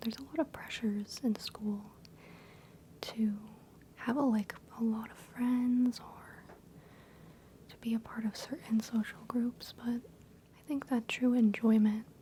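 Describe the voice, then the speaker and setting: A soft-spoken woman talks fairly slowly at a fairly high pitch with fairly even intonation, taking long, frequent pauses. Her loudness swings widely, and there is noticeable background noise. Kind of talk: ASMR role-play, doctor/therapist style. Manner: soft-spoken, calming.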